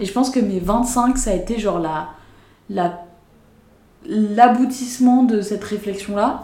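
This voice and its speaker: Somewhat breathy, a woman speaks at a fairly high pitch in a dark, mellow tone with ordinary pitch variation and audible room echo. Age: 20s. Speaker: podcast host. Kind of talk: casual chat.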